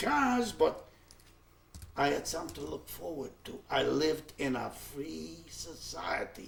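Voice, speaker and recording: Against noticeable background noise, a man speaks with a non-native accent. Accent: foreign. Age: 70s. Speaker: Holocaust survivor. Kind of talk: testimony. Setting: recorded interview. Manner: halting.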